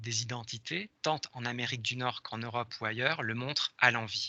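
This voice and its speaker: A man talks at a medium pitch with a bright, sharp tone. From France. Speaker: professor. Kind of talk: lecture. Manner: hesitant, many fillers.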